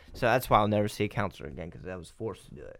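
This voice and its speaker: The recording of this man's voice is very clean, with a silent background. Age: 20s. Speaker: podcast guest. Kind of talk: casual chat. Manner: animated.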